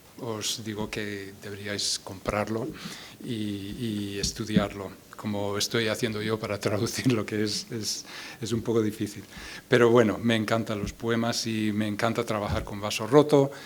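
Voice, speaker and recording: The man talks at a fairly slow pace in monotone, flat intonation. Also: fairly low pitch for a man. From US Midwest, Iowa. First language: English (speaking Spanish). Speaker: poet and translator. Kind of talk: poetry reading with spoken introduction. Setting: stage with audience at a book fair. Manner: halting, repeats words.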